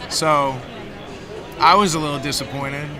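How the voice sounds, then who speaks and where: The speech moves at a moderate pace over crowd noise in the background. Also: man. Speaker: voice actor. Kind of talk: interview answer.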